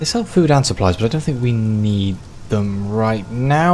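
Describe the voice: Intonation stays lively throughout this plain reading aloud.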